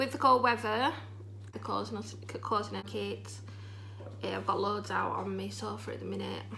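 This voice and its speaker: Speaking with a Yorkshire accent, a woman keeps a moderate pace broken by long, frequent pauses, and audible room echo surrounds her voice. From Yorkshire, England. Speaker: vlogger. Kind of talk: casual chat. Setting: at home. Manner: rambling, chatty.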